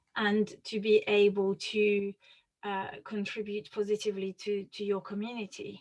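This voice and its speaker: A woman's medium-pitched voice in a French accent, moderate in pace and monotone, with flat intonation. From France. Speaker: author and researcher on student wellbeing. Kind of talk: interview. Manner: halting.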